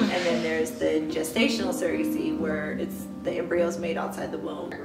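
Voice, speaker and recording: Loud music plays in the background as a woman speaks. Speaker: mother and surrogate. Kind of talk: interview answer. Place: home room.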